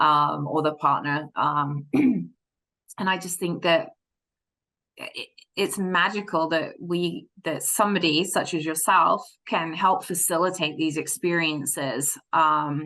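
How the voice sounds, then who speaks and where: Speaking very slowly with an English accent, a woman uses a bright, sharp tone, fairly low in pitch, with ordinary pitch variation. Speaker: interim podcast host. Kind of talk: podcast interview. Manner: hesitant, many fillers.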